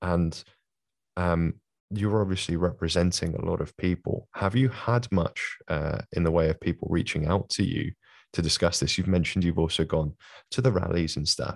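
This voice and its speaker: A man with a London accent speaks at a very deep, low pitch and a moderate pace, with ordinary pitch variation. The sound is dry and close with no echo, over a quiet background. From London, England. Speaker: podcast host. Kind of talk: casual interview.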